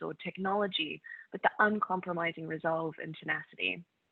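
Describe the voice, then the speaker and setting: A woman with an Australian accent talks at a fairly quick pace, her fairly low voice keeping fairly even intonation. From Australia, North Queensland. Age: 20s. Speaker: climate activist. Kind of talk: conference talk.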